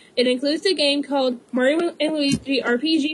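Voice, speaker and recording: The woman's voice sits at a high pitch. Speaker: podcast host. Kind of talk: casual news rundown. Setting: live stream podcast. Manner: stuttering, halting.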